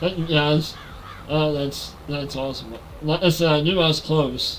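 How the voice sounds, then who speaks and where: A man speaks at a moderate pace in a fairly high pitch, with a monotone, flat delivery. Noticeable background noise runs behind him. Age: 40s. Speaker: gaming livestreamer. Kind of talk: casual livestream chat.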